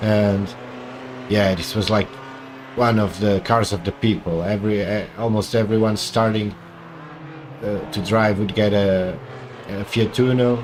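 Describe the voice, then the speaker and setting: Over noticeable background noise, a man speaks at a fairly slow pace and fairly low pitch, with fairly even intonation and long, frequent pauses. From Portugal. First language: Portuguese. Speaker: gaming streamer. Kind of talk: live gameplay commentary.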